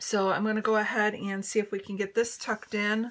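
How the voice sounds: At a fairly quick pace, a woman speaks at a medium pitch with a fairly bright tone and little pitch movement.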